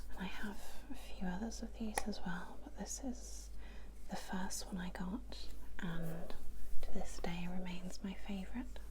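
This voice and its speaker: A woman speaks at a fairly slow pace, her loudness swinging widely. Noticeable background noise sits behind her. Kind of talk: ASMR makeup show and tell, soft spoken. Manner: soft-spoken, whispery.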